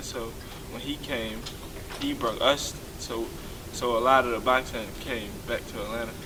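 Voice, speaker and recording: With an American accent, a man talks at medium pitch. Audible room echo and noticeable background noise surround his voice. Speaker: professional boxer. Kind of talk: interview.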